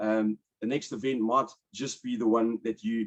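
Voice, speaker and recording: A man with a South African accent has a dark, mellow tone and lively intonation. The sound is dry and close, with no echo. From South Africa, Port Elizabeth. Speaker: webinar host, commercial property broker. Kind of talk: webinar presentation. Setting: online webinar.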